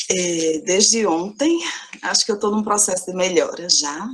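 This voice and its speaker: Soft-spoken, a woman talks at a fairly slow pace with a medium pitch and ordinary pitch variation. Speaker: university professor. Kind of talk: lecture. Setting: video conference. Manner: slow, measured.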